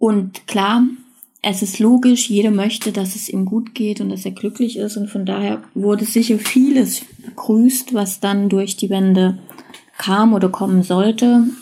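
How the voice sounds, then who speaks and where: A woman speaks with fairly even intonation in an ordinary speaking voice. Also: medium pitch for a woman, fairly slow pace. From East Germany, then West Germany from age eight. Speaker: podcast contributor sharing personal story. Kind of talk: personal testimony.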